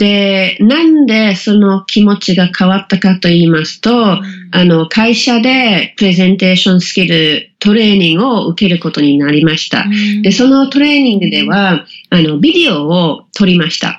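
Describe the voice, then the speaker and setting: With an English accent and lively intonation, a woman at medium pitch speaks at a moderate pace with hardly any pauses. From England. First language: English (speaking Japanese). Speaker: business communication coach. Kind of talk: interview. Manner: many filler words, hesitant.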